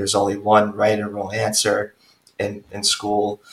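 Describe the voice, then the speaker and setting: A man with an American accent, fairly low in pitch and somewhat breathy, at a moderate pace. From Long Island, New York. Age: 30s. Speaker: life coach and breathwork teacher. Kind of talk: casual interview.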